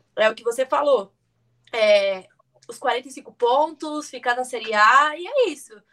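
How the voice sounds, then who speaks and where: Speaking at a very slow pace, a woman uses a high, bright and sharp voice with ordinary pitch variation and big swings in loudness. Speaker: podcast co-host. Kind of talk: casual chat. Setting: live stream.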